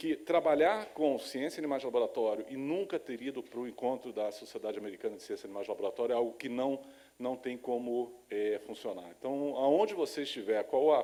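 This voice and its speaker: Speaking at a fairly quick pace with hardly any pauses, a man uses a medium pitch, a dark, mellow tone and lively intonation. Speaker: lecturer on laboratory animal science. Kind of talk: lecture. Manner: halting with many fillers.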